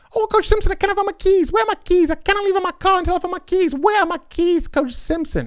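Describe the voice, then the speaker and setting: A put-on character voice with a Zambian accent, extremely high pitch and a very fast pace. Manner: flustered, repetitive.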